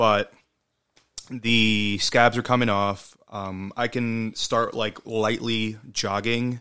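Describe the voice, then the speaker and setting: A man's bright, sharp voice at a medium pitch, monotone and flat in intonation, at a very slow pace. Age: 30s. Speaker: podcast co-host. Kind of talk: casual chat.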